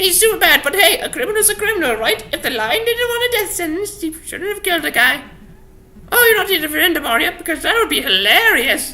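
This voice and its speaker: A woman's put-on character voice, extremely high in pitch, rushing at a very fast pace with very wide pitch swings. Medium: solo performance. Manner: brash, mocking.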